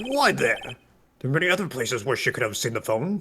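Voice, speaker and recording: Using a put-on character voice, a man talks at a very fast pace in a high pitch. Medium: game stream. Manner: measured, questioning.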